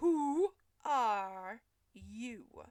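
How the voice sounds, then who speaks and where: Putting on a character voice, a woman speaks high in pitch with very wide pitch swings. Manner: slow, drowsy.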